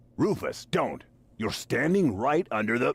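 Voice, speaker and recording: This man uses a put-on character voice, pitched fairly high, at a moderate pace. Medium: video game. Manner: dry, sarcastic.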